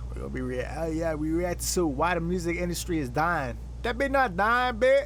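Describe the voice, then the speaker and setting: A man talks at a moderate pace, and audible room echo follows his voice. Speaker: streamer. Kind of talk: live stream reaction. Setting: live stream. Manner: animated.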